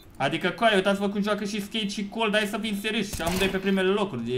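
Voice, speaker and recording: A man's high-pitched, animated voice at a very fast pace, over light background noise. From Romania. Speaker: gaming YouTuber; gaming streamer. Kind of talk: live gameplay commentary. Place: home room. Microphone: headset.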